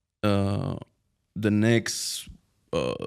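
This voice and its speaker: A man speaks with a Spanish accent. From Spain. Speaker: Arabic teacher and online entrepreneur. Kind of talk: podcast interview. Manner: halting.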